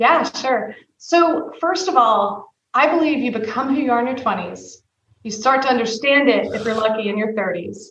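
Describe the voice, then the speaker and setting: With audible room echo around her, a woman talks in a high, animated voice with lively intonation. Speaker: tech executive. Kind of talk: interview. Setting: podcast. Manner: fast.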